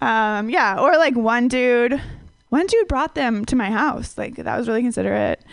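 With an American accent, a woman speaks in an ordinary speaking voice at a moderate pace, her fairly high pitch showing ordinary variation. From Minnesota. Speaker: stand-up comedian. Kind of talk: stand-up. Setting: stage with audience.

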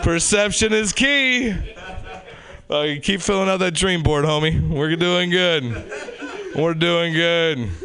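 Over noticeable background noise, a man with a fairly high voice speaks at a fairly slow pace with lively intonation. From Sacramento. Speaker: comedian. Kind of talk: stand-up. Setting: stage with audience.

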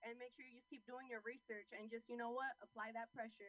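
A woman with an American accent talks at a very fast pace in a high voice. There is noticeable background noise. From US West Coast, San Francisco. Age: young. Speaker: youth organizer. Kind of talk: rally speech. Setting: outdoors. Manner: passionate, urgent.

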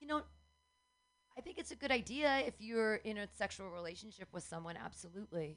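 A woman's fairly high, fairly quick voice with very wide pitch swings over music in the background. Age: 40s. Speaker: radio host and comedian. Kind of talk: casual chat.

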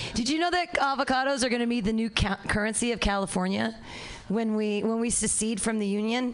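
An animated woman's voice at very even loudness, with noticeable background noise. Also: fairly high pitch for a woman, ordinary pitch variation, fairly quick pace. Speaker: comedy show host. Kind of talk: stand-up hosting. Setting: stage with audience.

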